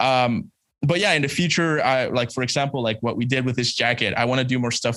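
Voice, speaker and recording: A man speaks at a fairly quick pace with a slight Spanish accent, a medium pitch and ordinary pitch variation. His loudness stays very even, and the sound is dry with no echo over a quiet background. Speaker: embroidery digitiser and educator; podcast guest. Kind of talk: casual chat. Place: home room. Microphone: studio mic.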